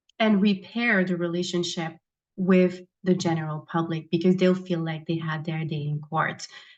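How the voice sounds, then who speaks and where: A woman's fairly low voice, slow-paced and monotone, flat in intonation, with a non-native accent. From abroad, immigrated as adult. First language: not English. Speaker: judicial candidate, prosecutor. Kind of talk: candidate forum answers. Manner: simple, plain phrasing with fillers.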